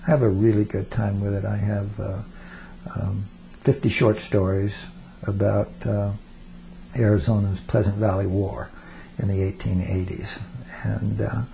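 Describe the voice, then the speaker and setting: Somewhat breathy and dark, mellow in tone, a man speaks at a fairly low pitch and fairly slow pace, with fairly even intonation and long, frequent pauses. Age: 70s. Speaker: retired college English teacher. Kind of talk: oral history interview. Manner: halting, many fillers and repetitions.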